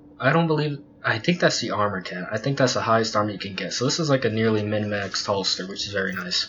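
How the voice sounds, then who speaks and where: The speech comes very fast with lively intonation. Background noise is noticeable. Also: man. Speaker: gaming youtuber. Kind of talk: tutorial. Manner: halting; casual.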